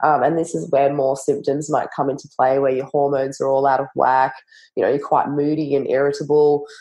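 With an Australian accent, a woman speaks fairly quickly in a very deep, low pitch and a monotone, flat intonation. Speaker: naturopath and nutritionist. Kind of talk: interview conversation.

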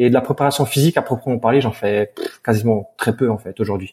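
A man talks at a fairly quick pace in a medium-pitched voice. His tone is dark and mellow, and somewhat breathy. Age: 20s. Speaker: posturologist and strength coach. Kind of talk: interview.

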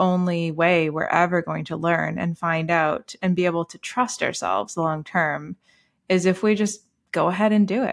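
A woman's normal speaking voice, fairly low in pitch with ordinary pitch variation, at a moderate pace on a very clean recording with a silent background. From Canada. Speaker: podcast host. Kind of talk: casual chat.

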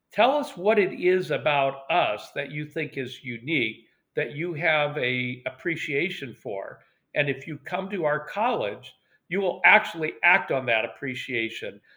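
The voice carries an American accent. Its intonation is lively, and the pace fairly slow. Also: man, fairly high pitch for a man. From US West Coast, Portland, Oregon. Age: 60s. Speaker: retired university admissions administrator. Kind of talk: interview.

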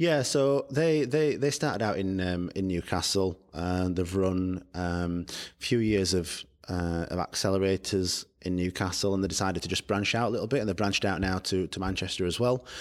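On a very clean recording with a silent background, a man with a Yorkshire accent and a very deep, low pitch speaks at a moderate pace with ordinary pitch variation. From northern England, Barnsley, South Yorkshire. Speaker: startup founder. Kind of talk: interview.

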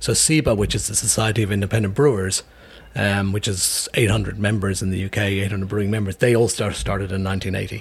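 Noticeable background noise sits behind a man's fairly low-pitched voice. His pace is moderate and his intonation fairly even. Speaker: brewery owner. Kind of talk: casual interview. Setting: in a pub.

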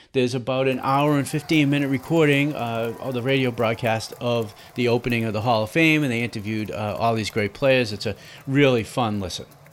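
With hardly any pauses and a fairly even intonation, a man speaks at a fairly quick pace. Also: medium pitch for a man. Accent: Boston. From Boston. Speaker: baseball history podcast host. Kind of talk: casual solo podcast narration.

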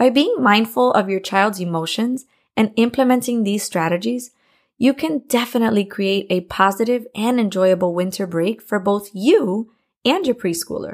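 With an American accent, a woman talks at a moderate pace in a fairly high voice. She has a plain, everyday voice with ordinary pitch variation. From Miami, Florida. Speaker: podcast host, preschool teacher and parent. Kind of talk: scripted podcast monologue, parenting tips.

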